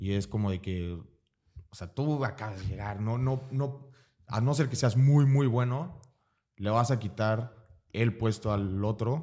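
Recorded very cleanly against a silent background, a man with a dark, mellow tone speaks at a fairly slow pace, leaving long, frequent pauses. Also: medium pitch for a man, ordinary pitch variation. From Mexico, Veracruz. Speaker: American football player. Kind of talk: casual interview.

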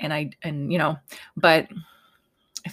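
The recording is very clean with a silent background as this woman talks at a moderate pace. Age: 30s. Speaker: podcast host. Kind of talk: casual monologue. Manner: conversational with many fillers.

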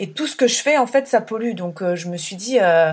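Speaking at a fairly quick pace, a woman uses a medium pitch with ordinary pitch variation. The recording is very clean, with a silent background. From France, Burgundy countryside. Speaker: eco-traveller and former consultant. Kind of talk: casual interview. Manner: hesitant, many fillers.

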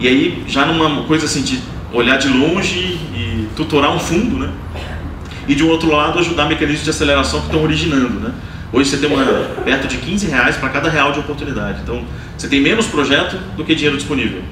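A man speaks very fast at a fairly high pitch with ordinary pitch variation. Noticeable background noise and audible room echo fill the recording. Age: 30s. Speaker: angel investor. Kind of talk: live onstage interview. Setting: stage with audience.

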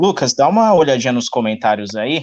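This man has a plain, everyday voice at medium pitch. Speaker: podcast host. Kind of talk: casual chat. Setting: live stream.

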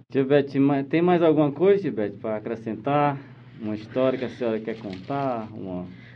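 Audible room echo carries the voice of a man at a medium pitch with lively intonation. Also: fairly quick pace. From Northeast Brazil (Ceará). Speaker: podcast host. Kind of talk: interview. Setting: radio studio.

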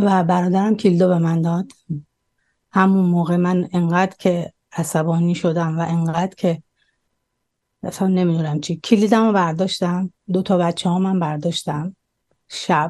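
A woman speaks at a moderate pace with a fairly low pitch and a dark, mellow tone. Her intonation is monotone and flat, and the background is quiet. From Iran. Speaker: immigrant business owner. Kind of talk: personal testimony interview.

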